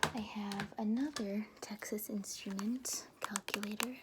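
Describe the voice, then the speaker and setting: The speaker is soft-spoken. Noticeable background noise sits behind the voice. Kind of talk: ASMR soft-spoken chat.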